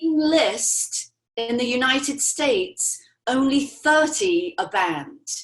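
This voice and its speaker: With an English accent, a high-pitched woman speaks at a very slow pace using lively intonation. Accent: English, stronger lately. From England. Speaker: natural beauty products representative. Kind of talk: interview.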